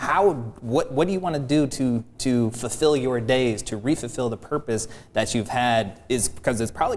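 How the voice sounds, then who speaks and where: There is light background noise. Over it, a man talks at a fairly quick pace. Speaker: guest. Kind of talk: interview answer. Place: studio. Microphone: lapel.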